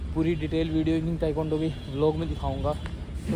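The man's voice sounds dry, with no echo. Noticeable background noise runs behind him. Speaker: martial arts vlogger. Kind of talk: casual vlog chat. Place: open country. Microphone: phone near.

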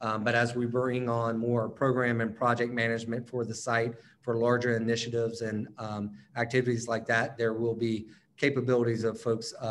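In an American accent, a man speaks at a medium pitch and a moderate pace. His intonation is monotone and flat, with light background noise. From North Carolina, near Charlotte; North Carolina. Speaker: operations executive. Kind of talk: presentation. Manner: halting. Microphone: webcam.

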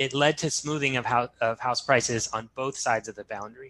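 A bright, sharp tone comes through over light background noise. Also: man. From New Zealand. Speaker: sociology professor. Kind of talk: academic seminar talk. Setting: video call. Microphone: video call.

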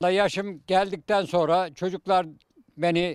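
Recorded very cleanly against a silent background, a man speaks at a high pitch with a dry, close sound and no echo. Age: 80s+. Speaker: retired nurse. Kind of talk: casual interview answer, reminiscing.

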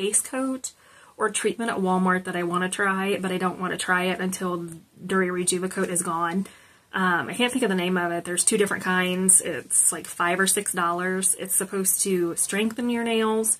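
At a moderate pace, a woman delivers her words with fairly even intonation. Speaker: nail polish vlogger. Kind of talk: casual product review chat. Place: home room.

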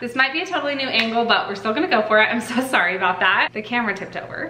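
There is audible room echo. Light background noise can be heard too. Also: woman. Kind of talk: casual vlog chat. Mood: warm, soothing encouragement.

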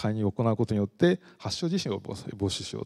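A man's voice with very wide pitch swings over a quiet background. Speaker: professor; university lecturer. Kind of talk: lecture. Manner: frequent fillers. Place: hall. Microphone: handheld.

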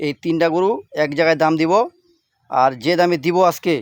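This man has an unremarkable speaking voice, with a fairly high pitch and ordinary pitch variation. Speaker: cattle trader and village vlogger. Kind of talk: sales pitch.

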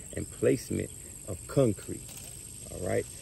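A man at a moderate pace, dry sound with no echo, light background noise. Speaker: carpentry instructor. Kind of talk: tutorial. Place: garden.

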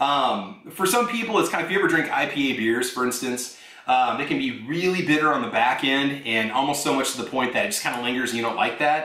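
Audible room echo surrounds a man speaking at a fairly quick pace. His pitch varies in an ordinary way. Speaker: coffee reviewer. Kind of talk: casual vlog chat. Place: kitchen.

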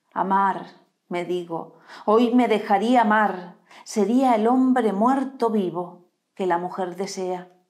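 Over a quiet background, a woman talks at a very slow pace with a solemn tone. Her pitch variation is ordinary. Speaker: poetry reader. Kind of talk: poetry reading, read aloud live. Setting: live stream. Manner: slow, measured, expressive reading with solemn pauses. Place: home room. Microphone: lapel.

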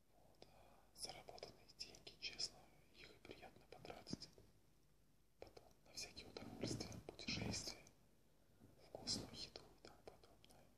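Whispering at a fairly slow pace, the voice leaves long, frequent pauses. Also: man. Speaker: extra and bit-part film actor who also works regular jobs. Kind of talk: casual talk to camera. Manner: whispered. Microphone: webcam.

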